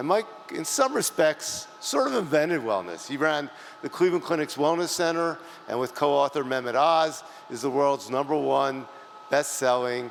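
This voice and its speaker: A man talks at a fairly high pitch and a moderate pace with ordinary pitch variation. There is noticeable background noise. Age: 60s. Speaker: awards presenter. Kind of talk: award ceremony presentation.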